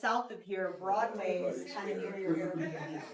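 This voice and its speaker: Her pace is fairly slow as this woman speaks. The room echo is audible, along with noticeable background noise. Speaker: vice president of marketing at a thrift store chain, podcast host. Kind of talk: casual talk, welcoming a tour group. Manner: loud; animated.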